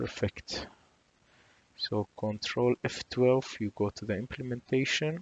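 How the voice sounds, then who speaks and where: A man talks at a very slow pace with medium pitch. His pitch varies in an ordinary way, in a dry, close sound with no echo. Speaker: programming tutor. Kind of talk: tutorial.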